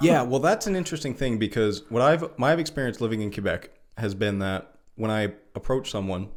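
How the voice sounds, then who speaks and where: In a very clean recording with a silent background, a man speaks in an ordinary speaking voice at medium pitch. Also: lively intonation. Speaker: podcast host. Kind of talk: casual chat.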